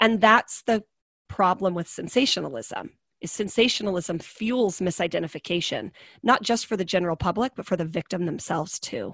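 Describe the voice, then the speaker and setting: Recorded very clean with a silent background and a dry, close sound with no echo, a woman with an American accent uses a normal speaking voice at medium pitch, with lively intonation and a fairly quick pace. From US West, small-town Oregon. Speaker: trafficking survivor and advocate. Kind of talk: interview, personal testimony.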